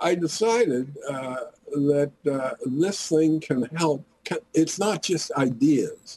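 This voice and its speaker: Speaking at a very slow pace, a man has a fairly high pitch and ordinary pitch variation. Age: 80s. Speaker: physician and author on medical marijuana. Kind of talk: interview. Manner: halting.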